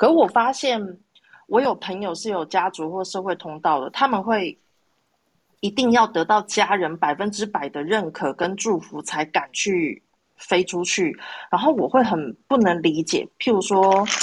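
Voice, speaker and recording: Recorded very cleanly against a silent background, a woman speaks at a fairly slow pace. Her pitch is medium and her intonation lively. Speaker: audience participant. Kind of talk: casual chat. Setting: live social audio room.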